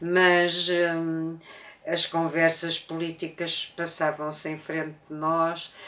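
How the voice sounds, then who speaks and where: A woman speaks at a very slow pace with monotone, flat intonation. Noticeable background noise runs underneath. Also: fairly low pitch for a woman. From Portugal, Lisbon. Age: 80s+. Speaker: interviewee sharing life story. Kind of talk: testimony. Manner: halting, many hesitations.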